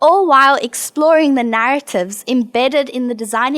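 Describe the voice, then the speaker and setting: The speaker is a woman with a high pitch. Her intonation is lively. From South Africa, Johannesburg. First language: not English. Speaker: alumna designer and researcher. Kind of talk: prepared presentation.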